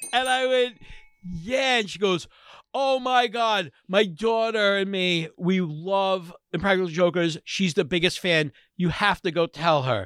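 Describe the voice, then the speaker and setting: In a very clean recording with a silent background, a man speaks at a high pitch. He goes fairly slowly, with lively intonation. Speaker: podcast host. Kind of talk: casual comedic banter.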